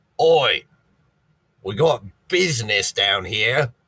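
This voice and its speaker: Shouting in a put-on character voice, a man sounds raspy and gruff, with fairly high pitch and a very slow pace. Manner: shouting, gruff.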